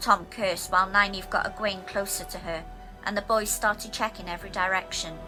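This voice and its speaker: Speaking in a Welsh accent at a moderate pace, a woman with a medium pitch is heard over music in the background. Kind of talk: abridged audiobook reading.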